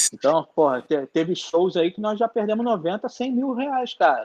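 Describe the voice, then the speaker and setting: A man with a normal speaking voice, fairly slow pace and ordinary pitch variation, in a dry, close sound with no echo. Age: 30s. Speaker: concert promoter. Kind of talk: live-streamed interview, casual chat.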